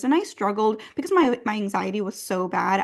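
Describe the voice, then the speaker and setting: A woman talks with a Spanish accent. Her pitch sits in the medium range. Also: quiet background. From US, Massachusetts. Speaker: trauma and somatic therapist. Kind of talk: podcast interview.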